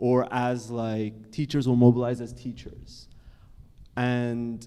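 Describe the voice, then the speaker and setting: At a very slow pace, a man with an American accent speaks in a flat monotone. His pitch is medium and his tone dark and mellow. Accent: sounds American to listeners. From Canada. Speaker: psychologist and author. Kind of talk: panel discussion. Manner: casual, with frequent self-corrections.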